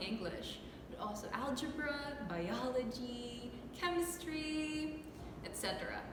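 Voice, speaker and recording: With an American accent, a woman uses a raised, projected voice at a high pitch, her tone upbeat and intonation lively, speaking at a fairly slow pace amid noticeable background noise and audible room echo. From United States. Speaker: online English teacher. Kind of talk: scripted self-introduction. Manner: friendly, upbeat.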